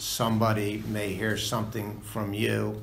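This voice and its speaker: Audible room echo surrounds a man's voice. He speaks at a very slow pace. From United States. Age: 60s. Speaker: recovery meeting speaker. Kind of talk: testimony. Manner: halting.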